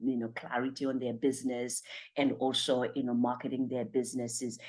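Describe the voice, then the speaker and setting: A woman with a Zimbabwean accent against a quiet background. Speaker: motivational speaker and life coach. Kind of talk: motivational talk. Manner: energetic.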